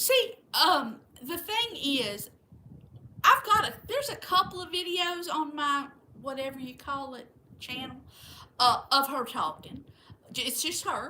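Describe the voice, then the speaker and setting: With a Southern US accent, the raised, projected voice has a bright, sharp tone, very wide pitch swings and big swings in loudness, moving at a fairly slow pace with long, frequent pauses. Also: woman, high pitch for a woman. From Florida. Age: 60s. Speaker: livestream host. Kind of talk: casual chat.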